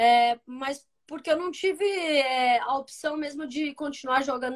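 Her pitch is high for a woman, and her intonation stays fairly even. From Brazil, São Paulo state interior (Aguaí/Campinas). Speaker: professional football goalkeeper. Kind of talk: casual interview. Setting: Instagram live video stream.

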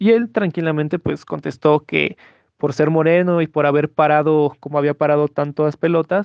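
Keeping his intonation fairly even, a man with a fairly high voice talks at a moderate tempo. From Mexico. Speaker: sports enthusiast and researcher of racism. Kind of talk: interview testimony. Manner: hesitant, many fillers.

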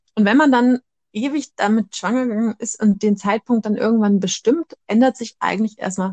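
With a fairly high pitch and ordinary pitch variation, a woman talks at a moderate pace in a somewhat breathy voice, recorded with a dry, close sound and no echo. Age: 30s. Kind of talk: casual chat.

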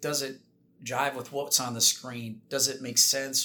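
A man's normal speaking voice with an American accent, medium in pitch, at a fairly quick pace. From Minnesota, US Midwest. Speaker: air force colonel. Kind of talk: interview.

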